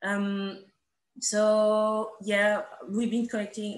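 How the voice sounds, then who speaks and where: Her voice sits at a medium pitch. The woman speaks with a French accent. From France. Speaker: artist and curator. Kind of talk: casual introduction on video call. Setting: video call.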